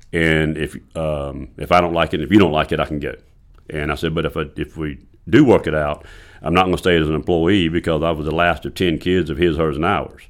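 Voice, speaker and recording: A man with a Southern US accent, very deep, low pitch, fairly even intonation and a fairly quick pace, in a very clean recording with a silent background. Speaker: golf course owner and superintendent. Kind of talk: casual interview.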